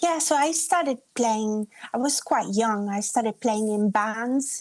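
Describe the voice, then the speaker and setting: A woman's fairly high voice with an Italian accent, dry and close with no echo. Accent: Italian-tinged English. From Italy (Umbria), Australian father. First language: Italian and English bilingual. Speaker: singer-songwriter. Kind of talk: radio interview.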